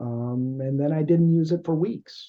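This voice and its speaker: Somewhat breathy, a man speaks at a fairly slow pace. His pitch is fairly high and his intonation lively. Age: 60s. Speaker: podcast host. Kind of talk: interview. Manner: halting, many fillers.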